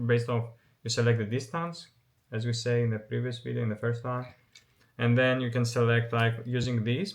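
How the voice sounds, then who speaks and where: The speaker is a man with a medium pitch. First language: not English. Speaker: photography YouTuber. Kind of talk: casual vlog commentary. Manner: halting, many fillers and restarts.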